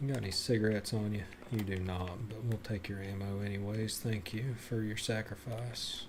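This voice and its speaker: A man's fairly low-pitched voice with audible room echo. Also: fairly even intonation, moderate pace. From Tennessee. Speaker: video game streamer. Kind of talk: live gameplay commentary.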